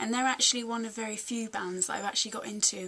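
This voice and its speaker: A woman with fairly even intonation. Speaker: music blogger and vlogger. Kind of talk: casual video review. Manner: hesitant, chatty, many filler words. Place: home room. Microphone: webcam.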